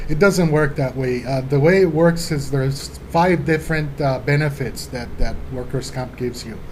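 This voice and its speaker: With a Spanish accent, a man talks at a moderate pace with hardly any pauses, fairly high pitch and fairly even intonation, while noticeable background noise can be heard. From Colombia, then Los Angeles from age 12. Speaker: law office administrator. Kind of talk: interview.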